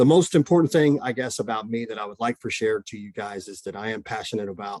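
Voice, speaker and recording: A man speaks in a strong Oklahoma accent at a very fast pace. His pitch is fairly low, with ordinary variation. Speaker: mental health counselor. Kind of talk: presentation. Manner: many fillers and repetitions.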